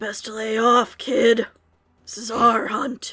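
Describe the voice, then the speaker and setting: Using a put-on character voice, a woman speaks very slowly with a raspy sound and monotone, flat intonation. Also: fairly high pitch for a woman. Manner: gruff, warning, growling.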